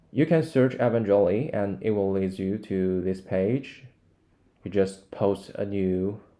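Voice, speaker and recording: A man's fairly low, dark, mellow voice with a Chinese accent, ordinary pitch variation and a fairly slow pace. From China. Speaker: language learning YouTuber. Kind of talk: screen-recorded tutorial. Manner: not fully fluent.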